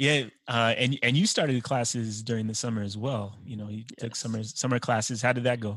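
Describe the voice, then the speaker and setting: Speaking at a fairly quick pace, a man with an American accent has an ordinary speaking voice at medium pitch with fairly even intonation. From Utah. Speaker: teacher and podcast host. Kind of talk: casual interview.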